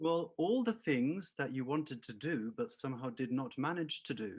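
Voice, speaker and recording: Lively in his intonation, a man speaks with a slight southern English accent. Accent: southern English-tinged. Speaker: singer-songwriter. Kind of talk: interview.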